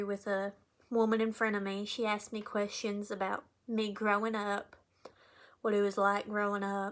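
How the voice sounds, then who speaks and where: A woman's medium-pitched voice with a strong Appalachian Kentucky accent, monotone and flat, at a moderate pace on a very clean recording with a silent background. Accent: thick Appalachian Kentucky. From Eastern Kentucky, Appalachia. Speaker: college student. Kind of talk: class speech.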